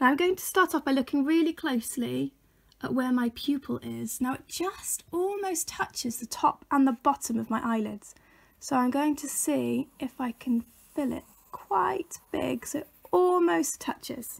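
Over a quiet background, a woman speaks at a high pitch and a moderate pace. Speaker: teacher for children. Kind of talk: tutorial. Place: home room. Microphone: phone near.

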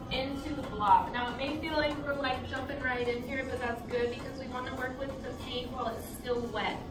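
Loud background noise fills the clip. The speaker's pace is fairly quick. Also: woman. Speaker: painting class instructor. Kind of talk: class instruction. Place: hall.

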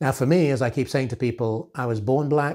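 Against a quiet background, a man talks at a moderate pace, somewhat breathy, with ordinary pitch variation. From Nigeria. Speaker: author and retail executive. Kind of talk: motivational talk to camera. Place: home room. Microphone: lapel.

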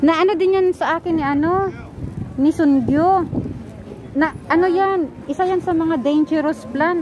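A woman with an extremely high pitch speaks at very even loudness over noticeable background noise. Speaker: vlogger. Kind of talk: casual vlog while shopping. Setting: outdoors at plant shop. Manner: animated.

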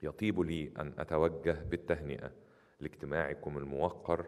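Against a quiet background, a man with a very deep, low pitch and vocal fry speaks at a very slow pace in a monotone, flat intonation. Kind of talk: formal speech. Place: hall. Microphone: podium.

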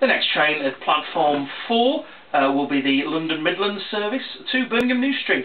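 Over light background noise, a high-pitched man speaks at a moderate pace with very wide pitch swings. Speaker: radio presenter. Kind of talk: train station announcement. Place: office. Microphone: podium.

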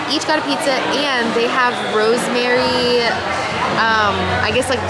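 A woman speaks over crowd noise in the background. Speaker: vlogger. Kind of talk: casual vlog chat. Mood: relaxed, upbeat. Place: bar. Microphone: phone near.

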